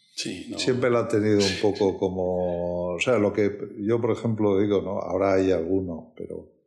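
Delivery comes at a moderate pace with fairly even intonation and hardly any pauses. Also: man, fairly low pitch for a man. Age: 60s. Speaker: wine company executive. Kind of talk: interview. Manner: halting.

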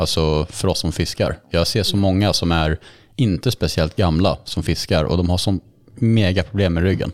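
At a moderate pace, a man speaks in a very deep, low pitch with ordinary pitch variation and very even loudness on a very clean recording with a silent background. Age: 30s. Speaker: podcast host. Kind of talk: casual chat.

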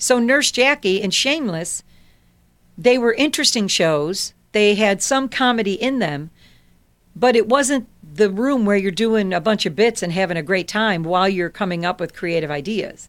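A plain, everyday voice with an American accent, lively intonation and a moderate pace, on a very clean recording with a silent background. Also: woman, medium pitch for a woman. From Chicago, South Side. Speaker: television comedy writer, former actor. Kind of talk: casual interview chat.

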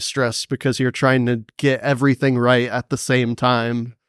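A man with an American accent speaks at medium pitch and a moderate pace with monotone, flat intonation, in a very clean recording with a silent background and a dry, close sound with no echo. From North Carolina, Cary near Raleigh. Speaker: trombonist. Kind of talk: interview.

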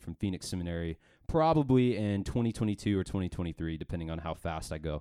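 On a very clean recording with a silent background, a man with an American accent talks at a very fast pace in a fairly low voice with ordinary pitch variation. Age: 20s. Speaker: youth pastor, podcast co-host. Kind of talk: casual chat.

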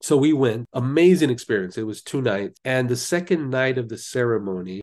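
A man speaks with a Californian accent. The background is quiet. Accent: Californian American. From Los Angeles, US. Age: 50s. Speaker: life coach and clinical social worker. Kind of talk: interview.

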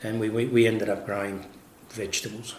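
A man talks at a moderate pace in a fairly low pitch, with monotone, flat intonation. Audible room echo and noticeable background noise are present. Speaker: winemaker. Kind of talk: interview. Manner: halting.

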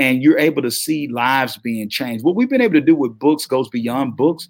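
A man with a Southern US accent sounds animated, his fairly high pitch moving with ordinary variation in a dry, close sound with no echo. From US South. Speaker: motivational speaker and publishing entrepreneur. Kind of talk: interview.

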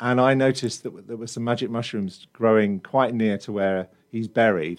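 A man with a British accent speaks at a fairly quick pace, his pitch fairly low. His intonation stays fairly even against a quiet background. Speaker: musician. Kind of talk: interview chat.

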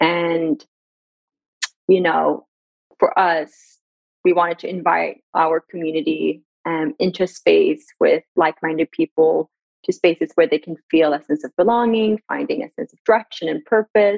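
Fairly slow speech in an Iranian accent. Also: woman. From Sweden. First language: Farsi. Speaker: brand director and marketing expert. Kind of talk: casual interview conversation. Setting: video call.

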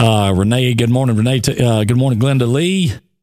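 A man of medium pitch with an Alabama accent at a moderate pace, on a very clean recording with a silent background. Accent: Southern US (Alabama). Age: 40s. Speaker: radio show co-host. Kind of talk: casual morning show chat.

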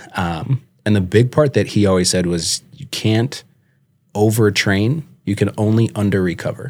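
The man speaks in a normal speaking voice with an American accent, a fairly low pitch, ordinary pitch variation and a moderate pace. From Minnesota, Twin Cities area. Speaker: business owner and college coach. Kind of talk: casual interview.

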